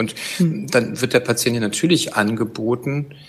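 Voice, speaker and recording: Noticeable background noise sits behind a man speaking at a medium pitch. His pace is fairly slow, with ordinary pitch variation. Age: 50s. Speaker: gynecologist and chief physician. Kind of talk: expert interview.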